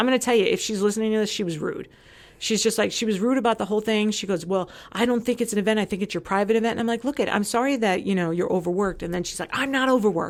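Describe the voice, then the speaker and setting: In a very clean recording with a silent background, a woman with a fairly high pitch speaks at a very fast pace in an animated tone, with ordinary pitch variation. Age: 40s. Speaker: former community social committee member. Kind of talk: casual chat.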